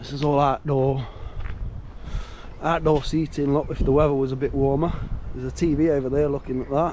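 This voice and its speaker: A man with a fairly high pitch talks at a fairly quick pace in a monotone, flat intonation, with long, frequent pauses. Noticeable background noise runs underneath. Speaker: van life vlogger. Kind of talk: casual vlog chat. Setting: outdoors at a pub car park.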